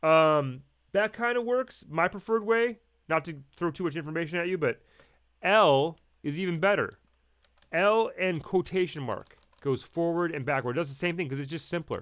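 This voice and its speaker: A man's high-pitched voice with lively intonation over a quiet background. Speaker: audio editing instructor. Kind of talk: tutorial. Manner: fast; casual, halting with fillers. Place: home room.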